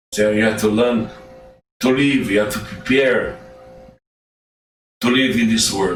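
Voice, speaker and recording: A man with a Portuguese accent speaks with fairly even intonation and long, frequent pauses. Audible room echo and music in the background fill the recording. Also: medium pitch for a man, fairly slow pace, very even loudness. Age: 60s. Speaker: self-styled judge and commentator. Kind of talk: direct-to-camera monologue. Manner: halting.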